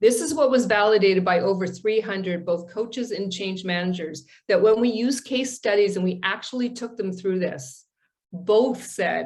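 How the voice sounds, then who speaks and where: A somewhat breathy woman's voice of medium pitch, with ordinary pitch variation, at a moderate pace. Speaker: presenter on a coaching and change management task force. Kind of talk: webinar presentation.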